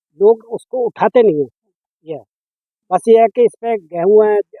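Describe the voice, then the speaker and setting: A man talks at a high pitch and a moderate pace, his pitch varying in an ordinary way. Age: 50s. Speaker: retired teacher turned farmer. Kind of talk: interview.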